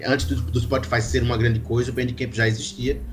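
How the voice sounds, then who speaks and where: A man speaks with medium pitch. Noticeable background noise can be heard. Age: 20s. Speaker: drummer in an indie band. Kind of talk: casual podcast interview.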